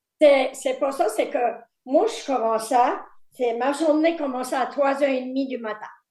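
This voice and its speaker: With audible room echo, a woman talks at a moderate pace in a high pitch, using ordinary pitch variation and long, frequent pauses. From Quebec, Îles-de-la-Madeleine. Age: 70s. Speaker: fisherman's wife and retired factory worker. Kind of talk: life story interview. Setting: video call.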